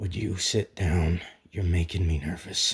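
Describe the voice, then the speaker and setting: A gruff, raspy, put-on character voice at a moderate pace. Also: man. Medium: read story. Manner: halting, gruff.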